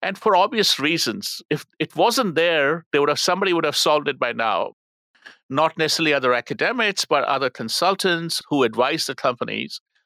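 Talking at a fairly quick pace, a man uses a fairly high, bright, sharp voice with lively intonation in a dry, close sound with no echo. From India. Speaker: marketing professor. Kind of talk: interview.

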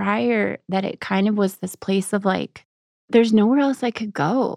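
Over a quiet background, a woman with an American accent speaks in a dark, mellow tone, the sound dry and close with no echo. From Texas. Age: young. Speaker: author and military widow. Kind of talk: interview about grief and faith. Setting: studio.

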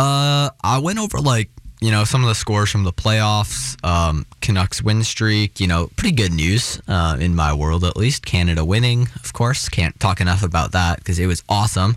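At a moderate pace and fairly low pitch, a man speaks with lively intonation and hardly any pauses. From Seattle, US Pacific Northwest. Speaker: college radio sports show host. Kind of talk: solo sports talk show. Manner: casual, filler-heavy; animated.

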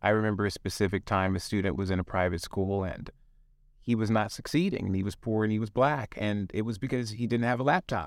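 A man with an American accent speaks at a very fast pace in a fairly low pitch with ordinary variation. The recording is very clean, with a silent background. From US South. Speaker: leadership consultant. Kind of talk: interview.

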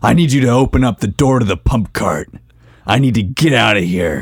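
Someone in a put-on character voice sounds raspy, with lively intonation and a fairly quick pace. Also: man, medium pitch for a man, very even loudness. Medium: actual play. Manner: blunt, pushy.

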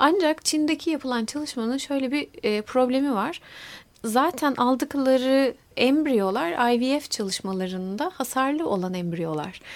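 Her high-pitched voice moves in very wide pitch swings as the woman speaks at a fairly slow pace. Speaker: molecular biologist, university lecturer. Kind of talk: interview.

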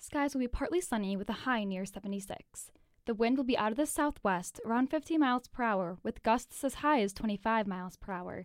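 In an unremarkable speaking voice, a woman talks with lively intonation at a fairly high pitch, hardly pausing at all. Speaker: weather reporter. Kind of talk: news reading. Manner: formal, steady, polished newsreader delivery.

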